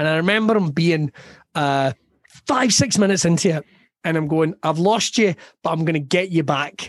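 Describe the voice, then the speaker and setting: With a west of Scotland accent, a man talks at a moderate pace in a high pitch, with ordinary pitch variation and long, frequent pauses. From Scotland, Ayrshire. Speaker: comedian. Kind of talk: casual chat.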